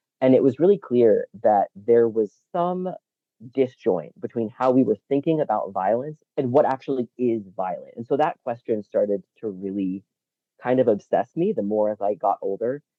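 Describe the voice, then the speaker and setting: A plain, everyday voice from a man with an American accent, medium pitch and lively intonation, at a moderate pace. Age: 40s. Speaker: researcher and advocate. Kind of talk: interview.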